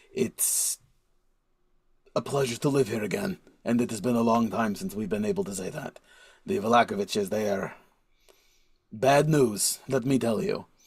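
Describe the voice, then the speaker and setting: A man does a raspy put-on character voice at a medium pitch, with very wide pitch swings. He keeps a moderate pace and takes long, frequent pauses. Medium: actual play. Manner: chatty, laughing, slightly broken grammar.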